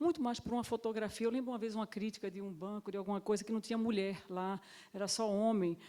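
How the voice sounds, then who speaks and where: Fairly quick and fairly high-pitched, a woman's voice has a dark, mellow tone and fairly even intonation. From Pernambuco, northeast Brazil. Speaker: panel speaker, africanist working in economics. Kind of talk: panel discussion. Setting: stage with audience at a summit.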